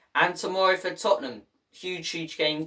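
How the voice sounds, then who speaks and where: With a northern English accent, a man speaks at a fairly quick pace in a bright, sharp tone. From northern England, Irish heritage. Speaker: football YouTuber. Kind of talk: casual vlog commentary. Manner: animated.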